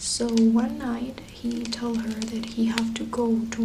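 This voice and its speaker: A woman whispers with noticeable background noise. She is soft-spoken. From Venezuela. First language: Spanish. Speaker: ASMR creator. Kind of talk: soft spoken ASMR storytelling of legends. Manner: soft-spoken, whispering.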